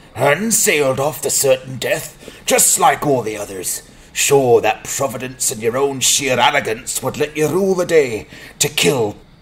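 A man at a moderate pace and medium pitch. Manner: angry, suspicious.

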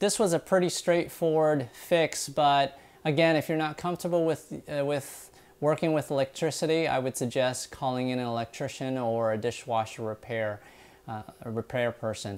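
Moderate speed and normal pitch movement from a male speaker. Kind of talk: tutorial. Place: kitchen. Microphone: lapel.

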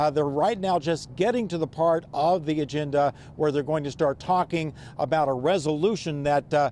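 Against light background noise, a man with a fairly high pitch speaks at a moderate pace with ordinary pitch variation in a dry sound with no echo. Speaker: field reporter. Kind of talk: live news report. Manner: conversational, with hesitations. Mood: calm, explanatory. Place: street. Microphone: handheld.

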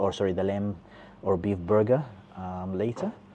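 Light background noise sits behind a man talking at a moderate pace. His voice is fairly low, with a dark, mellow tone. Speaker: food vlogger. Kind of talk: casual vlog chat. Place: cafe. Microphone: lapel.

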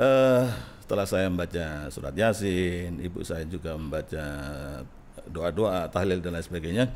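Light background noise sits behind a man with a very deep, low pitch. He talks at a moderate pace with ordinary pitch variation. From East Java, Indonesia (Gresik); East Java, Indonesia. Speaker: Islamic cleric; guest. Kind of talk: interview. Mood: reflective, personal storytelling. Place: studio. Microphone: studio mic.

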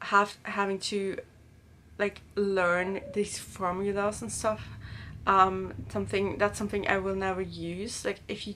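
Against light background noise, a woman speaks at a fairly slow pace with monotone, flat intonation. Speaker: student vlogger. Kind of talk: casual vlog chat. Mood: reflective, slightly stressed recollection. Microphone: camera far.

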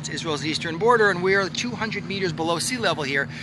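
Noticeable background noise accompanies a man's dry sound with no echo. He speaks with ordinary pitch variation. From Canada. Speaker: rabbi and history educator; rabbi, history educator. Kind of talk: casual walk-and-talk explanation. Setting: outdoors by a lake. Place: waterside. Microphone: phone near.

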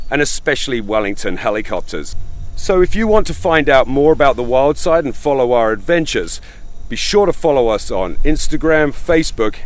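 Very wide pitch swings mark this man's speech at a fairly quick pace. The sound is dry, with no echo. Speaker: travel show host. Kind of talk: travel show presenting to camera. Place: open country.

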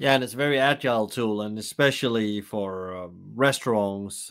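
Very cleanly recorded against a silent background, a man with a fairly low pitch uses an ordinary speaking voice with ordinary pitch variation. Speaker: podcast host. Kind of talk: interview.

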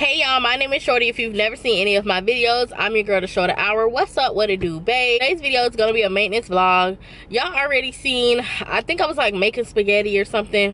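A woman talks at a very fast pace with hardly any pauses, very even loudness, and ordinary pitch variation, in a dry sound with no echo. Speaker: vlogger. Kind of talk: casual vlog chat. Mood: playful, laughing. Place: car. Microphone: phone near.

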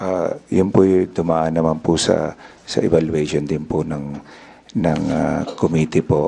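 Over noticeable background noise, a man with a very deep, low voice speaks very slowly in a monotone, flat intonation. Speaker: town mayor. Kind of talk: testimony at hearing. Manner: deferential.

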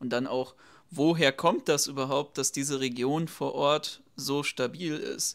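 Against a quiet background, a man speaks at a very slow pace in a fairly high pitch. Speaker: left-wing YouTube commentator. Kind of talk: reaction video commentary. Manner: animated. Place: home room.

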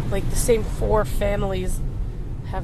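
A woman talks at a moderate pace, the sound dry with no echo, noticeable background noise behind her. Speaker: vlogger filming from passenger seat. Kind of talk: casual vlog chat. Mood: annoyed, ranting about town. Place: car.

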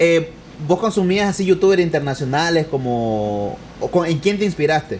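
Lively intonation and a moderate pace from a man with a high-pitched voice. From Nicaragua. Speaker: podcast host. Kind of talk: interview. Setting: studio with live audience.

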